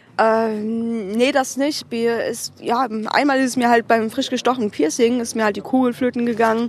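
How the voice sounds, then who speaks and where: A woman speaks over noticeable background noise. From Cologne, Germany. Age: 20s. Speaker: alternative model. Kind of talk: casual interview chat. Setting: outdoors on a curb, with beer.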